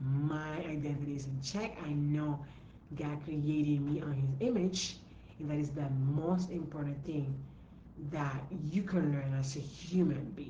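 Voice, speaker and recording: A woman's very deep, low pitch at a fairly slow pace, ordinary pitch variation and audible room echo. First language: not English. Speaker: entrepreneur coach. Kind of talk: live stream talk. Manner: repetitive, emphatic.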